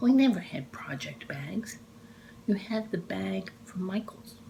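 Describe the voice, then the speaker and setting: A woman at a medium pitch with an American accent and very wide pitch swings, over noticeable background noise. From Texas, Dallas. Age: 60s. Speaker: cross-stitch vlogger. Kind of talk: casual chat. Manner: animated.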